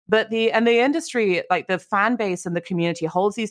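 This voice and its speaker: The recording is very clean, with a silent background. The speech runs at a very fast pace. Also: woman. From rural England. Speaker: games industry commentator. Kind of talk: casual chat.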